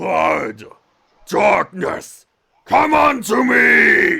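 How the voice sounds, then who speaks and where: A man shouts in a put-on character voice. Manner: dark, menacing.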